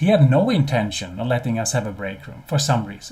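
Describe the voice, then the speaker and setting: A man with a non-native accent talks at a fairly quick pace, somewhat breathy, with lively intonation and audible room echo. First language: not English. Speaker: business consultant and CEO. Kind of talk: webinar presentation. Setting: live webinar. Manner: hesitant, many repeated words.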